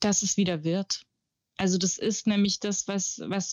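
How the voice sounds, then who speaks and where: A woman talks at a moderate pace with medium pitch. Hers is a normal speaking voice. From Germany, Munich. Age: 40s. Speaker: journalist and author. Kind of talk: interview.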